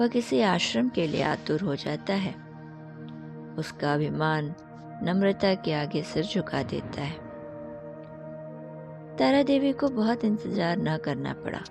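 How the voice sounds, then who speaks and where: A woman is soft-spoken, with long, frequent pauses. Music plays in the background. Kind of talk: sleep story. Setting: background music. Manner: soft-spoken, meditative.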